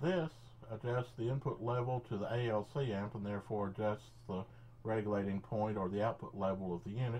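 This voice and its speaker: Over light background noise, a somewhat breathy voice moves at a fairly quick pace with ordinary pitch variation. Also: man, fairly low pitch for a man. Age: 50s. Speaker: electronics hobbyist. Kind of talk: tutorial. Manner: halting. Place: workshop.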